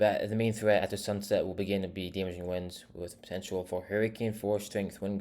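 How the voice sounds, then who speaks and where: A man's fairly low, dark and mellow voice at a fairly quick pace, flat and monotone, on a very clean recording with a silent background. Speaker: weather forecaster. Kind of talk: weather forecast briefing. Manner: fast; hesitant, with stumbles and repeats.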